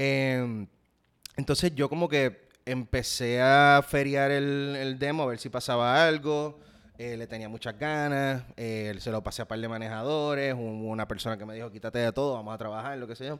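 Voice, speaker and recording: A man with an ordinary speaking voice talks at a moderate pace, medium pitch and fairly even intonation, with big swings in loudness. The recording is very clean, with a silent background. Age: 30s. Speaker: actor and salsa musician. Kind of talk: casual interview.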